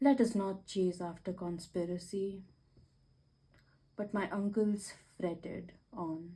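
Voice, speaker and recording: Soft-spoken and somewhat breathy, a woman of medium pitch talks at a very slow pace with long, frequent pauses, a dark, mellow tone and fairly even intonation. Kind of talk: ASMR book reading. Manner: soothing, soft-spoken.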